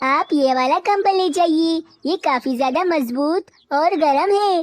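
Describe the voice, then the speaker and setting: In a cartoonish character voice, a woman speaks at an extremely high pitch with very even loudness. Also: moderate pace, ordinary pitch variation. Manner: polite, warm.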